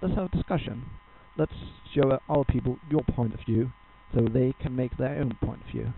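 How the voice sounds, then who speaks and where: A man speaks at a medium pitch, leaving long, frequent pauses. Noticeable background noise runs under his voice. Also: ordinary pitch variation, moderate pace. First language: Danish. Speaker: gaming guide creator. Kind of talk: tutorial. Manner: halting.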